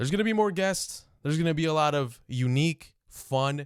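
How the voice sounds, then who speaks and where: Lively intonation marks a man's moderately paced speech. The background is silent and the recording very clean. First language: Spanish. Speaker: podcast host. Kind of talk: solo podcast monologue.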